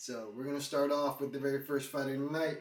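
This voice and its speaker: A man with a fairly high pitch is recorded with audible room echo. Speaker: MMA YouTuber. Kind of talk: fight predictions commentary. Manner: casual, conversational.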